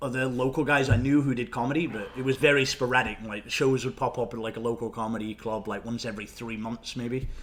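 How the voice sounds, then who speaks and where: With an English accent, a man talks at a fairly quick pace and a medium pitch. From Nottingham, England, moved to Canada at 13. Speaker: stand-up comedian. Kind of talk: casual chat. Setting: podcast interview.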